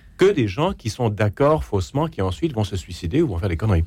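The speaker talks at a fairly quick pace with vocal fry. The pitch swings very widely. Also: man. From Quebec, Canada. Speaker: essayist and radio journalist. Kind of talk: radio panel debate.

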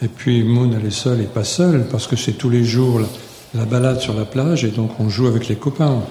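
There is noticeable background noise and audible room echo around this man. His medium-pitched voice moves at a moderate pace with fairly even intonation and hardly any pauses. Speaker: retired teacher. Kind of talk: live interview. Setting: stage with audience.

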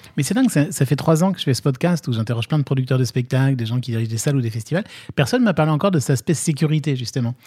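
A man's dark, mellow, somewhat breathy voice at a very fast pace, with ordinary pitch variation. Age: 40s. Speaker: podcast host. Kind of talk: interview.

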